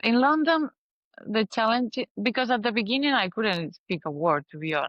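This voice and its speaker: With a Spanish accent, a woman at a fairly high pitch speaks at a moderate pace, her loudness very even while her pitch swings very widely. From Spain. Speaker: interior designer. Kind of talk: casual interview chat. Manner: halting, searching for words.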